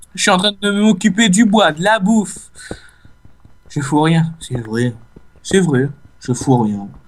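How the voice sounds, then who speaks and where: With long, frequent pauses, a man speaks very slowly in a high pitch, his voice swinging very widely in pitch. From Réunion. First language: Réunion Creole (speaking French). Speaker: gaming YouTuber. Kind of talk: casual let's play commentary. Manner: hesitant, many fillers.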